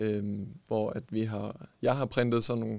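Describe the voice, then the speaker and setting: In a medium-pitched, monotone voice with flat intonation, a man speaks at a fairly slow pace. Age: young. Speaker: sports scientist and esports coach. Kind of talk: interview. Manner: halting.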